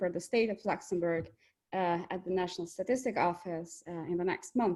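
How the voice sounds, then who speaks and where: Against a quiet background, a woman with an Albanian accent speaks at a moderate pace in a medium pitch with fairly even intonation. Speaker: economics researcher. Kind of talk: webinar presentation. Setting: video call.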